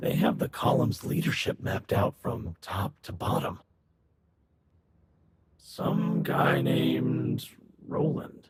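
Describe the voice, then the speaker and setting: A put-on character voice, raspy and calm in tone, at a fairly slow pace with long, frequent pauses. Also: man, very deep, low pitch for a man. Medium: video game. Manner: calm, methodical.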